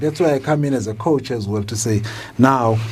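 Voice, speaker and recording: A man's speech runs at a fairly quick pace while noticeable background noise carries on behind it. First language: not English. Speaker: leadership coach. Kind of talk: podcast interview conversation.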